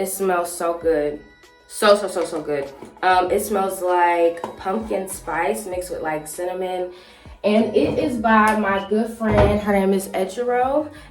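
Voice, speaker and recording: With music in the background and audible room echo, a woman talks at a fairly slow pace. Her voice sits at a medium pitch with ordinary pitch variation. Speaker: YouTuber and 3rd grade teacher. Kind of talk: casual chat get-ready-with-me vlog. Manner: animated.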